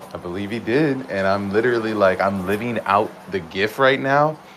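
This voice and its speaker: Over noticeable background noise, a man with a fairly low pitch talks in an animated tone. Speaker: community member. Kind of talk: casual chat. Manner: loud.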